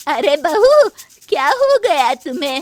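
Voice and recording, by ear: In a put-on character voice, a woman speaks slowly at a high pitch with big pitch swings.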